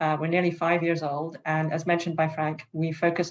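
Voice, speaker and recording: A woman with a British accent and a very deep, low pitch speaks at a fairly quick pace. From England, London. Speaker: startup CEO, panelist. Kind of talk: panel discussion.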